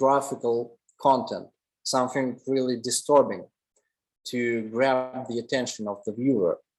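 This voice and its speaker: A man speaks with a Russian accent at a fairly slow pace. His medium pitch holds fairly even intonation. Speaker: commercial photographer. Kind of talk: lecture.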